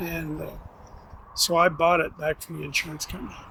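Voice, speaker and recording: The man speaks in a monotone, with flat intonation. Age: 70s. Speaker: truck driver. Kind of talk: interview answer.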